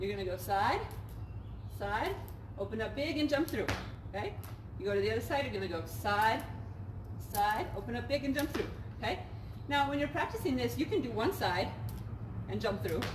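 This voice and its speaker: Background noise is clearly audible while a woman talks fairly fast. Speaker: fitness instructor. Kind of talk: tutorial. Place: garden. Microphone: camera far.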